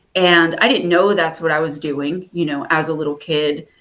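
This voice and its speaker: A woman speaks with a New Jersey accent at a moderate pace. Her pitch sits fairly low. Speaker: spiritual advisor and author. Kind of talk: interview. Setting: video call.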